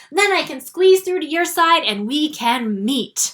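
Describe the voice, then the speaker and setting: A woman puts on a character voice at a high pitch. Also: fairly slow pace. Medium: read story.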